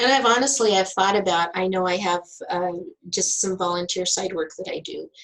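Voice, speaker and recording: A woman at medium pitch, ordinary pitch variation, an ordinary speaking voice. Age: 60s. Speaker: health center director. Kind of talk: interview.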